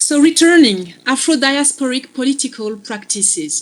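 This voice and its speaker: With a French accent, a woman speaks with lively intonation. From Belgium. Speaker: philosophy lecturer. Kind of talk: lecture. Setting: video call. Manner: slow.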